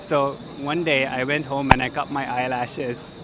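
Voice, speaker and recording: Light background noise sits behind a man's voice. The sound is dry, with no echo. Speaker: street interviewee. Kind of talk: interview. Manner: halting. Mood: amused, reminiscing. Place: street. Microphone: handheld.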